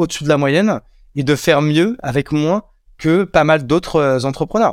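Moderately paced, a man with a plain, everyday voice speaks at a fairly high pitch with ordinary pitch variation, the sound dry and close with no echo on a very clean recording with a silent background. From France, Champagne-Ardenne countryside. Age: 30s. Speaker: entrepreneur. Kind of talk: casual interview.

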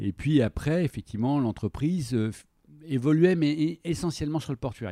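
A man with a dark, mellow tone talks fairly quickly with lively intonation. The recording is very clean with a silent background, dry and close with no echo. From France, Troyes. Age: 60s. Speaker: company director. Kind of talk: interview. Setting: at guest's premises.

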